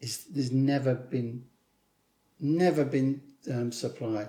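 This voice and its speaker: This man speaks at a fairly slow pace with a southern English accent. His medium-pitched voice has a dark, mellow tone. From southern England. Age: 60s. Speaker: author and screenwriter. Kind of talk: interview. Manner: animated.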